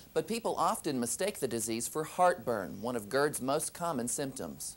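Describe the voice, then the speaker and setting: A man with an American accent and medium pitch uses very wide pitch swings and vocal fry. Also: moderate pace. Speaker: news anchor and reporter intern. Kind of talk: TV news anchor read.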